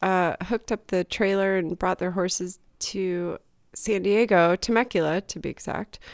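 Over a silent background in a very clean recording, a woman speaks in a plain, everyday voice with a dry, close sound and no echo. Her pitch is medium, her intonation fairly even, and her pace fairly slow. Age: 40s. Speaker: podcast co-host. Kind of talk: casual chat.

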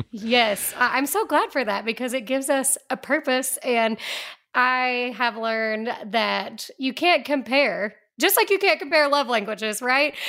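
A woman's high voice is raised and projected, bright and sharp, with lively intonation. The recording is very clean, with a silent background. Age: 40s. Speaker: ministry director and author. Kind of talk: radio interview. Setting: studio.

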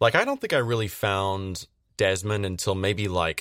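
At a moderate pace, a plain, everyday voice comes through a very clean recording with a silent background and a dry, close sound with no echo. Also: man. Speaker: cast member, player. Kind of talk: casual chat.

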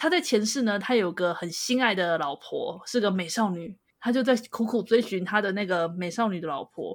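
A woman speaks in a normal speaking voice at medium pitch, with lively intonation, a moderate pace and hardly any pauses. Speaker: podcast co-host. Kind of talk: casual chat.

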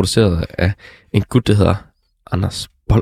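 A fairly low-pitched man speaks at a moderate pace with ordinary pitch variation, the sound dry and close with no echo. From Denmark, Struer (West Jutland). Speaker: podcast host. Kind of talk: casual music review chat. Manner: halting, many fillers.

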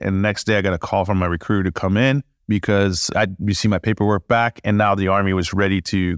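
A man with a French accent speaks at a fairly quick pace. The sound is dry and close with no echo, on a very clean recording with a silent background. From France. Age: 40s. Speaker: war veteran. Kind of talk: casual interview storytelling. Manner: animated.

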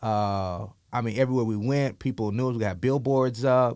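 Using a plain, everyday voice, a man with an American accent speaks at a medium pitch and moderate pace with fairly even intonation. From central Florida. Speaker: former pro football player and entrepreneur. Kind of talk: interview.

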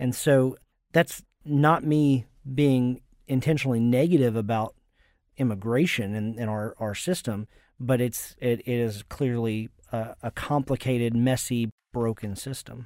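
An unremarkable speaking voice from a man at medium pitch, fairly slow pace and ordinary pitch variation, on a very clean recording with a silent background. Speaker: pastor. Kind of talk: interview.

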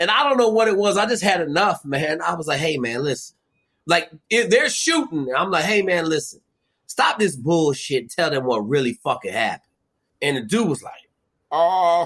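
A man speaks loudly with an American accent at a moderate pace. His pitch is high and swings very widely. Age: 50s. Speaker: former Navy SEAL and survival show guest. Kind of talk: casual interview chat with heavy profanity. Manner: loud, profane, animated.

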